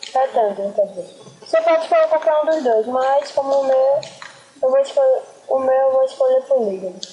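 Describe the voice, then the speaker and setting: A woman at a high pitch with ordinary pitch variation, over noticeable background noise. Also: moderate pace. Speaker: graphic design tutorial maker. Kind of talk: tutorial.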